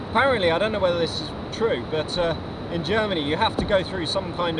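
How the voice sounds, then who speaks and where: A man talks with ordinary pitch variation. Loud background noise accompanies him. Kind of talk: casual vlog chat. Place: boat. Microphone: camera far.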